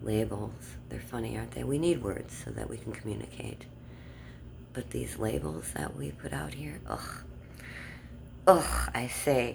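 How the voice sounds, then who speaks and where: There's audible room echo as a woman speaks at a fairly slow pace. Her volume swings a lot. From Germany. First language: German. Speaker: vlogger. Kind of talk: casual monologue. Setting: outdoors in the dark.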